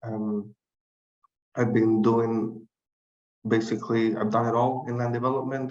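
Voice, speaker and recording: A man's fairly slow, monotone, flat speech at medium pitch, with a non-native accent and long, frequent pauses. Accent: foreign. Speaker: board candidate, civil engineer. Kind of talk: candidate speech at panel.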